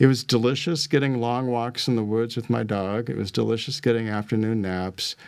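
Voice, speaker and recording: A plain, everyday voice moves at a fairly quick pace with ordinary pitch variation and hardly any pauses. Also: man, medium pitch for a man. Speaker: life and business coach. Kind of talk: interview.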